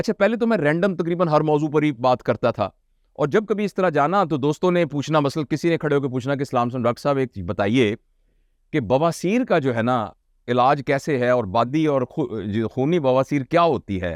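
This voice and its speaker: A normal speaking voice with lively intonation at a moderate pace, dry and close with no echo, against a quiet background. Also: man, fairly high pitch for a man. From Pakistan. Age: 60s. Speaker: motivational speaker. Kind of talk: lecture.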